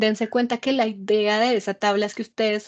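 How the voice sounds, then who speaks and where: In a plain, everyday voice, a woman with a fairly high pitch talks at a moderate pace, with a dry, close sound with no echo and a quiet background. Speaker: university lecturer. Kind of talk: lecture.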